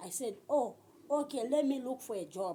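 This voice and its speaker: A woman with a dark, mellow tone speaks at a moderate pace with lively intonation. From Zambia, Western Province. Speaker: vlogger. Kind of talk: personal storytelling.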